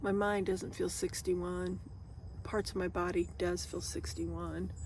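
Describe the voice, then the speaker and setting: In audible room echo, a woman talks at a fairly slow pace. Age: 60s. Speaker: van-life vlogger. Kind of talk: casual vlog chat. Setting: outdoors by a river, public area. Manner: halting, casual.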